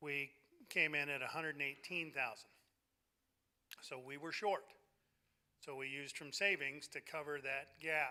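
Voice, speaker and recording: A man speaks loudly at a fairly high pitch with a bright, sharp tone. His pace is fairly slow and his intonation fairly even. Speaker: church leader presenting budget. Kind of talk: congregational meeting report. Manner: hesitant with fillers.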